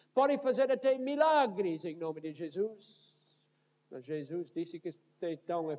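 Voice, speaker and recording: A man with a North American accent speaks at a fairly slow pace. His tone is dark and mellow, and his intonation is lively. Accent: foreign, North American accent in Portuguese. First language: English (speaking Portuguese). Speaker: pastor. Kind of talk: sermon. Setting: church.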